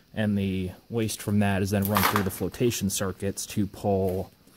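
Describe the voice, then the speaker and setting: Over noticeable background noise, a man with a fairly low pitch talks at a fairly slow pace in a monotone, flat intonation. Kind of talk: explanatory commentary. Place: factory. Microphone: phone near.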